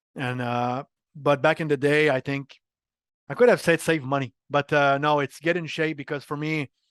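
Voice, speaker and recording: Against a quiet background, a man with a slight French Canadian accent speaks at a fairly high pitch and moderate pace, with fairly even intonation and a dry, close sound with no echo. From Quebec, Montreal. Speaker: marketing executive. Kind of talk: interview.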